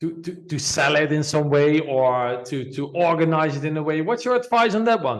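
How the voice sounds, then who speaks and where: A man's fairly high-pitched voice with lively intonation, a moderate pace, and hardly any pauses. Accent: non-native. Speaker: podcast host. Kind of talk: interview. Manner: halting.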